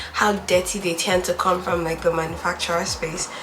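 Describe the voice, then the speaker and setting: A woman's medium-pitched, monotone voice with flat intonation, plus audible room echo and noticeable background noise. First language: not English. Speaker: beauty YouTuber. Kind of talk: tutorial. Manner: casual, chatty.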